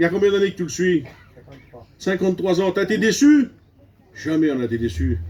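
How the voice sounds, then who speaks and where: A man's high voice with very wide pitch swings. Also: moderate pace, big swings in loudness. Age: 60s. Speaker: preacher. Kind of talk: sermon. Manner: animated.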